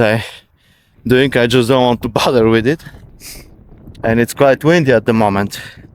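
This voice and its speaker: A man speaks with a non-native accent at a medium pitch and a moderate pace. His intonation is fairly even, in a dry, close sound with no echo. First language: Bulgarian. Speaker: vlogger. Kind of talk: casual vlog monologue. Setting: outdoors walking in countryside. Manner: halting.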